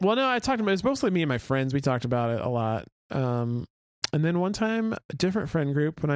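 A man with an American accent, talking at a very fast pace. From Oklahoma City, south side. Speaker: podcast co-host, radio worker. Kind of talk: casual chat.

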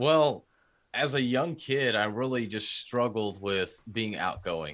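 In a very clean recording with a silent background, a man with a plain, everyday voice talks at medium pitch with ordinary pitch variation. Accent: American. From Houston, Texas. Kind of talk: casual interview conversation.

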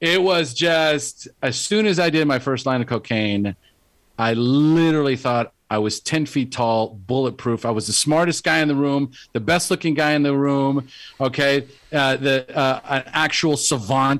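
On a very clean recording with a silent background, a man with an unremarkable speaking voice talks at a fairly high pitch with ordinary pitch variation. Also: very even loudness. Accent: American. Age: 50s. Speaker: life coach. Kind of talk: interview.

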